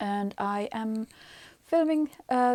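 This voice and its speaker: A woman with a fairly high pitch is heard on a very clean recording with a silent background. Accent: Finnish. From Finland. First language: Finnish. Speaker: knitting podcaster. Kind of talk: casual vlog monologue. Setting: attic of apartment. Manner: hesitant, many fillers.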